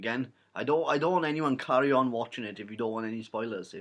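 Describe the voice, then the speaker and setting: Against a quiet background, the speaker talks very fast in a Welsh accent with ordinary pitch variation. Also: man. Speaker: YouTuber, film reviewer. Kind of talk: casual vlog review. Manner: rambling, hesitant with fillers.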